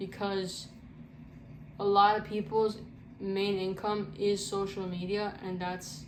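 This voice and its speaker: With audible room echo, a woman speaks at medium pitch and a fairly slow pace. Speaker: content creator. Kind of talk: casual Q&A vlog. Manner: halting, self-described stuttering; casual, slangy.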